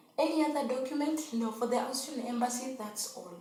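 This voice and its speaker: A high-pitched woman's voice with ordinary pitch variation and audible room echo. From Kenya. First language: not English (Swahili-speaking). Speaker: vlogger, au pair. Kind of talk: casual tutorial vlog.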